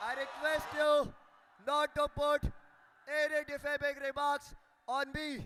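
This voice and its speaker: Through noticeable background noise, a man with an extremely high pitch speaks fairly slowly in a raised, projected voice, with monotone, flat intonation and long, frequent pauses. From India, Amravati, Maharashtra. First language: Marathi. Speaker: student election candidate. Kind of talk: election debate, grilling by panel. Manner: formal.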